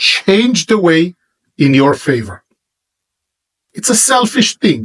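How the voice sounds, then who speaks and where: Somewhat breathy and with an Israeli accent, a man speaks at a very slow pace with very wide pitch swings, the sound dry and close with no echo. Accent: Hebrew-accented English. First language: Hebrew. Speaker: religious teacher. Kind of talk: monologue to camera.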